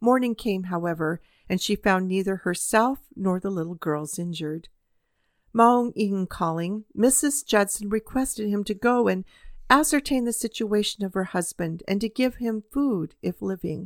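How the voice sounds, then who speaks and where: A woman with an unremarkable speaking voice talks at a moderate pace in a medium pitch with lively intonation, on a very clean recording with a silent background. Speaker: podcast host. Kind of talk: audiobook-style reading aloud of a historical narrative, after a personal chat intro. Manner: earnest, measured storytelling; warm, conversational in intro.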